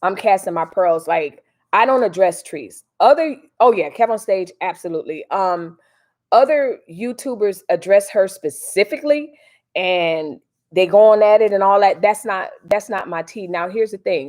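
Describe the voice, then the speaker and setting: A woman's medium-pitched voice with a St. Louis accent and lively intonation, in a very clean recording over a silent background. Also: moderate pace. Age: 40s. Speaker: YouTube livestream host. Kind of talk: casual live stream commentary. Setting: live stream.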